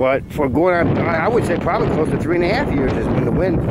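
Loud background noise runs beneath a man talking very fast with ordinary pitch variation. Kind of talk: casual vlog chat. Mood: suspicious, earnest complaint. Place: open country. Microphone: phone near.

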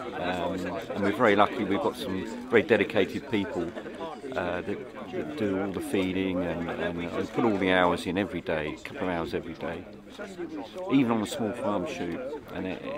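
A man's voice with ordinary pitch variation, dry and without echo, over crowd noise in the background. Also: moderate pace. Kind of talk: interview answer. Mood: relaxed and pleased. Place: open country.

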